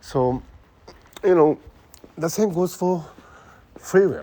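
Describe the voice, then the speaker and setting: A man's dark, mellow voice with a Japanese accent, fairly slow, with very wide pitch swings. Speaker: podcaster talking about brain science. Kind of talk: casual monologue. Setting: outdoors, walking in city. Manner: halting, many fillers.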